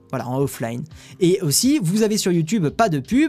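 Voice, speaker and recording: With music playing in the background, a man speaks with lively intonation. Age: 20s. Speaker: tech news streamer. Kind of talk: live stream chat with viewers. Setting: live stream. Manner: casual, hesitant with many fillers.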